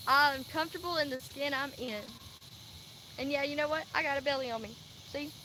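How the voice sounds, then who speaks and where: With an American accent, a woman projects a raised voice at a high pitch, moving at a fairly quick pace with fairly even intonation and long, frequent pauses. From Louisiana and Texas. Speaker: vlogger. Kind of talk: casual livestream monologue. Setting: live stream.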